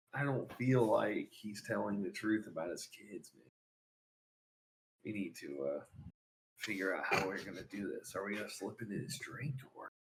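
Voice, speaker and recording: A man whispers in a raspy, put-on character voice. His pace is moderate. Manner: whispering.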